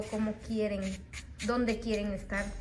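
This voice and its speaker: A woman speaks with monotone, flat intonation. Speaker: nail technician and beauty youtuber. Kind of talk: product review tutorial. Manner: chatty, friendly.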